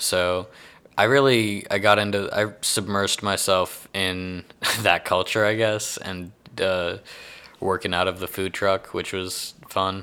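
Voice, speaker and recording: With a slight Texan accent, a man speaks at a moderate pace in a very deep, low pitch with a bright, sharp tone and monotone, flat intonation, on a very clean recording with a silent background. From Houston, Texas. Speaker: comedian. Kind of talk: casual interview chat.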